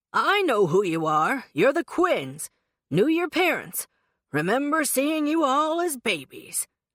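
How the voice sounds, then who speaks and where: A gruff, put-on character voice. It sits at a high pitch. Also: fairly slow pace. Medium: read story. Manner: folksy, grumbling.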